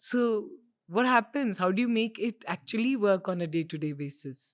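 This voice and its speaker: With an Indian accent, a woman talks at a moderate pace, her pitch swinging very widely. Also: medium pitch for a woman, very clean recording, silent background. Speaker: podcast host. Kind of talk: interview.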